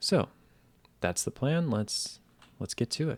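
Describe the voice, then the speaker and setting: A soft-spoken man talks in a calm tone. The recording is very clean, with a silent background. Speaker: gaming commentator. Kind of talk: relaxing gameplay commentary. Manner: soft-spoken, calm.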